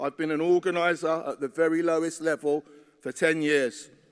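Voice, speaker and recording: A normal speaking voice from a man, fairly high in pitch and at a moderate pace, in a dry, close sound with no echo on a very clean recording with a silent background. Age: 50s. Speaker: trade union delegate. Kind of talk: conference speech. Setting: conference hall.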